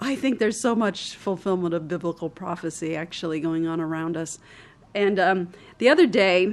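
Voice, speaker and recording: This woman has an ordinary speaking voice with a fairly low pitch. She speaks at a moderate pace with ordinary pitch variation. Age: 60s. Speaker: charity leader. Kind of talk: interview.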